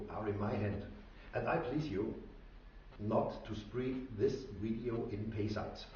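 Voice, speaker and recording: There is audible room echo and noticeable background noise. A man speaks at a medium pitch and a fairly slow pace. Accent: strong non-native. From Austria. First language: German. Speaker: inventor / tinkerer. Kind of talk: tutorial. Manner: halting.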